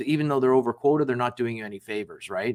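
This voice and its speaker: A man with medium pitch talks at a very fast pace. The recording is very clean, with a silent background. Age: 60s. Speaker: business founder and sales executive. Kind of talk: podcast interview. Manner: casual, conversational with frequent fillers.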